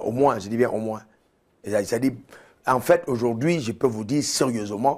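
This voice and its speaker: A man speaks with a medium pitch at a moderate pace. His voice has ordinary pitch variation. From Cameroon. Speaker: pastor. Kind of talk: TV interview. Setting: studio. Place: studio. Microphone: lapel.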